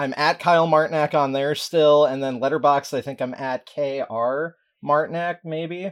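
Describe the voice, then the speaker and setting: The voice is an unremarkable speaking voice, moving at a fairly slow pace with fairly even intonation over a quiet background. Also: man, fairly high pitch for a man. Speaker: writer and podcaster. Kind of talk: casual chat. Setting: remote call.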